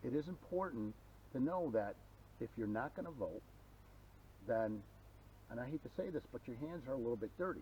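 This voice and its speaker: A man of medium pitch with a dark, mellow tone and vocal fry talks at a fairly quick pace with lively intonation, leaving long, frequent pauses. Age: 50s. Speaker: hiker friend. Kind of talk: casual chat.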